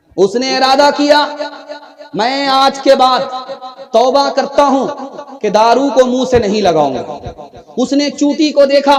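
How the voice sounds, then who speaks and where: Amid noticeable background noise, a man speaks at an extremely high pitch with long, frequent pauses. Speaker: Islamic preacher. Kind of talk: religious sermon.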